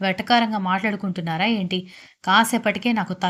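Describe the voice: This recording features plain reading aloud.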